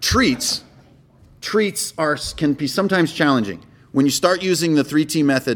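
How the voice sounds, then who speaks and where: With lively intonation, a man speaks at a moderate pace in a fairly high voice. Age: 40s. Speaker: game master and convention panelist. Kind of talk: convention panel talk. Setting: stage with audience. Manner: high energy.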